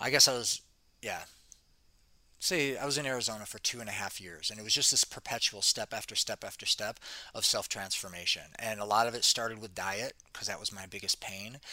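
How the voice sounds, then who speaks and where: An American-accented man with a bright, sharp tone, medium pitch, ordinary pitch variation, big swings in loudness and a fairly quick pace. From US Midwest, Detroit. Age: 40s. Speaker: farmer and podcast host. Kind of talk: interview storytelling. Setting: remote call from his farm.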